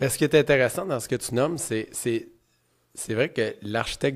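A man with a Quebec accent at a fairly quick pace, ordinary pitch variation, and a quiet background. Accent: Québécois French. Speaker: podcast host, real estate entrepreneur; podcast host. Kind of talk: interview conversation. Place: studio. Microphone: studio mic.

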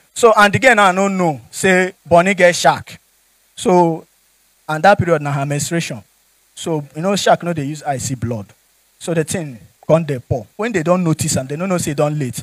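In a Nigerian accent, a high-pitched man speaks at a moderate pace with an animated tone, against a quiet background with a dry sound and no echo. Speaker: stand-up comedian. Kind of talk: stand-up comedy with Nigerian Pidgin storytelling. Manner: animated, jokey, laughs at own punchlines; conversational, addresses audience directly. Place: stage. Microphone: handheld.

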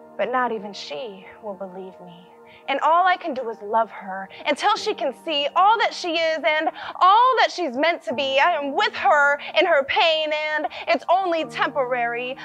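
Music plays in the background as the speaker goes at a moderate pace. Both pitch and loudness swing very widely. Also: woman, high pitch for a woman. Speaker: spoken word poet. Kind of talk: spoken word poetry performance.

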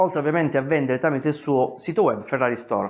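Faint music sits in the background behind a man's voice. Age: 40s. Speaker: personal finance youtuber. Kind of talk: video monologue. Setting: at home. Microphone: lapel.

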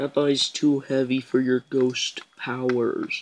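The speech moves at a very slow pace over noticeable background noise. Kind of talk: voiced toy play storytelling. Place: home room. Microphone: phone near.

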